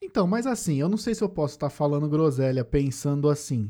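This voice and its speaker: A man's fairly high-pitched voice with a dark, mellow tone over a quiet background. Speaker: podcast host. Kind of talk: casual chat.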